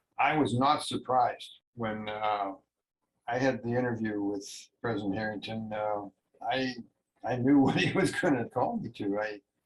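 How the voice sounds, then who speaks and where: Pausing long and often, a man speaks at a medium pitch and moderate pace with ordinary pitch variation. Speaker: church bishop. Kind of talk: interview reminiscence. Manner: hesitant.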